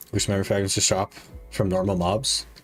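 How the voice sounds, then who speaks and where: A man speaks at a moderate pace in a relaxed tone, his fairly low voice showing ordinary pitch variation over background music. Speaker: game streamer. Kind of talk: live stream chat reading.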